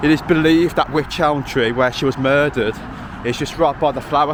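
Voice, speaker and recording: Through noticeable background noise, a man can be heard talking at a fairly quick pace. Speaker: outdoor vlogger. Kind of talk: walking vlog narration. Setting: outdoors. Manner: loud.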